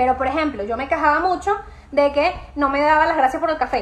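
Animated, high-pitched woman with a Venezuelan accent at a very fast pace, ordinary pitch variation and noticeable background noise. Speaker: podcast host and emotional wellbeing coach. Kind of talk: live Q&A chat.

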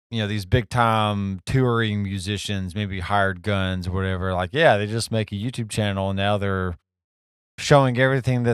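An ordinary speaking voice from a man, fairly low in pitch, on a very clean recording with a silent background. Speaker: podcast host. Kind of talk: casual interview chat. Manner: informal, fillers.

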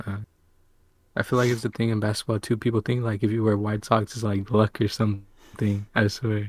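A man speaks in a fairly low, somewhat breathy voice at a fairly quick pace, with monotone, flat intonation. The recording is very clean and dry, close and without echo, over a silent background. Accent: American. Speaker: podcast co-host. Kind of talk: casual chat.

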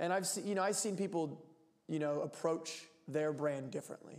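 Speaking with an American accent and an unremarkable speaking voice, a man goes at a fairly quick pace with ordinary pitch variation. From Pennsylvania (Lancaster). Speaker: professional soccer player. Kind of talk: casual chat.

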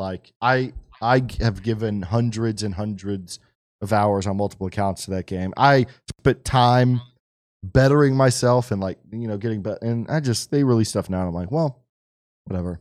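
An unremarkable speaking voice from a man, fairly low in pitch with ordinary variation, at a moderate pace, in a very clean recording with a silent background. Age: 30s. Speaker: podcast co-host. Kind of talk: casual chat.

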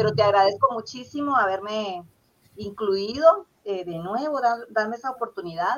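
Using an unremarkable speaking voice, a woman talks at a moderate pace and a fairly high pitch, with lively intonation and big swings in loudness. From Guatemala (Zacapa, south coast). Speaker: poet and teacher. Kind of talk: interview.

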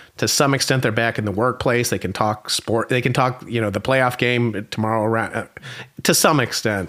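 This man has an American accent. He talks at a moderate pace with fairly even intonation. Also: medium pitch for a man. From United States. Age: 50s. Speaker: marketing professor. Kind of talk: interview. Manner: halting, frequent repetitions.

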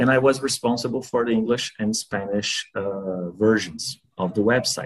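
Over music in the background, a man with a Portuguese accent speaks at a moderate pace and medium pitch, with fairly even intonation. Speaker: language learner. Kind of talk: interview. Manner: halting.

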